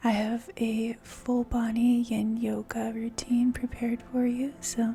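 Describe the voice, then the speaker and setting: Over noticeable background noise, a soft-spoken woman with a fairly high voice talks in a flat, monotone way. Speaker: ASMR yoga instructor. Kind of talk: guided yin yoga relaxation session. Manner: soft-spoken, slow, calming.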